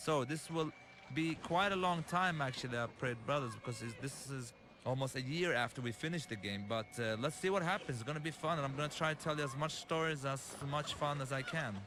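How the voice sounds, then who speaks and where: A man with an Arabic accent, fairly high-pitched, at a fairly quick pace with ordinary pitch variation. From Lebanon. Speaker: game director and filmmaker. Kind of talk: developer commentary. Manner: halting.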